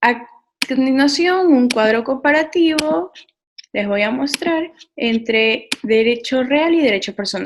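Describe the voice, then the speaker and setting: Lively intonation runs through speech that unfolds at a fairly slow pace. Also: woman, high pitch for a woman. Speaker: law student presenter. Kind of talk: lecture.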